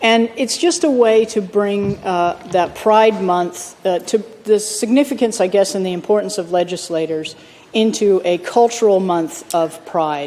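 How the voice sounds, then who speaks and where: A woman talks at a fairly slow pace in a medium pitch. Noticeable background noise is present. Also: ordinary pitch variation. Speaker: state politician. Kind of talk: valedictory speech in parliament. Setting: parliament chamber. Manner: conversational, many fillers.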